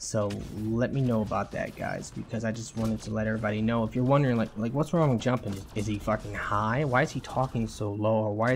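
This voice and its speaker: Fairly quick speech with hardly any pauses and fairly even intonation, music in the background. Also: man. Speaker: gaming youtuber. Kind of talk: casual vlog talk. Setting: home recording in new apartment. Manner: casual, profane.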